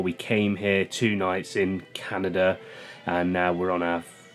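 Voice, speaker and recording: Speaking in a monotone, flat way, a man with a British accent has a very deep, low pitch, with music in the background. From United Kingdom. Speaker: travel vlogger. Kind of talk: casual vlog narration. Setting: on a cruise ship. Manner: casual, filler-heavy.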